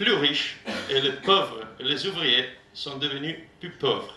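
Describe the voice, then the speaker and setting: A man's fairly high voice in an Italian accent, very slow, with audible room echo. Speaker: trade union delegate. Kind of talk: rally speech. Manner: halting.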